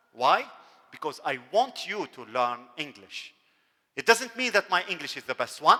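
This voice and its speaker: With an Arabic accent, a man talks at a fairly slow pace in a high voice with a bright, sharp tone and very wide pitch swings, the sound dry and close with no echo. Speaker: university dean. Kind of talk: lecture.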